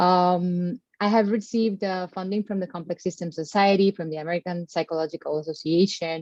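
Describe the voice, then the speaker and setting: A woman with a Colombian accent speaks at a fairly low pitch and a fairly quick pace, with hardly any pauses and fairly even intonation. The sound is dry and close with no echo, over a quiet background. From Caribbean Colombia. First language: Spanish. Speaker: postdoctoral researcher. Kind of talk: panel discussion. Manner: hesitant, many fillers.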